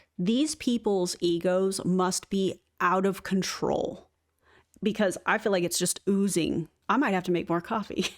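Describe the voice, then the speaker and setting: A woman's unremarkable speaking voice, medium in pitch with ordinary pitch variation, at a fairly slow pace and very even loudness, on a very clean recording with a silent background. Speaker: YouTuber reacting to MLM video. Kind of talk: commentary on a played video.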